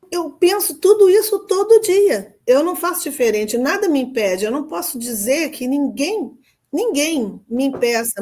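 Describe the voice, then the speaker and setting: Her pitch is high and swings very widely as she speaks. The woman's tone is dark and mellow, and her pace is moderate. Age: 70s. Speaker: pediatrician. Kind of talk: coaching session.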